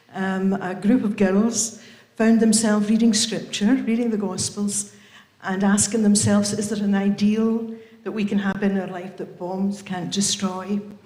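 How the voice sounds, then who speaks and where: A woman with an English accent at a medium pitch and moderate pace, monotone and flat, amid noticeable background noise and audible room echo. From England. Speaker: member of a religious community. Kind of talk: casual talk at a book launch. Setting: event with live audience, livestreamed.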